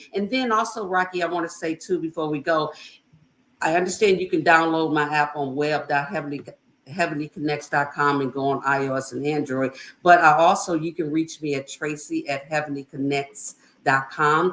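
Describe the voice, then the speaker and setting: The speaker has an American accent and an animated tone. The pace is moderate, with ordinary pitch variation. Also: woman, very deep, low pitch for a woman. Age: 60s. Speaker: entrepreneur and motivational speaker. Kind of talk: podcast interview.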